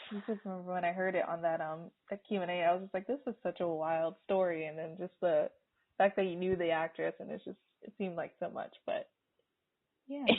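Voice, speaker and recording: A woman speaks at a fairly quick pace in an ordinary speaking voice. Her pitch is fairly low and her intonation fairly even. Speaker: podcast host. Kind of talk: podcast interview host.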